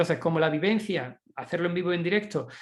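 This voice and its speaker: Talking at a very fast pace, a man keeps a high pitch with fairly even intonation. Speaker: speaker on education, author. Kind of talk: online lecture. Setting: online session.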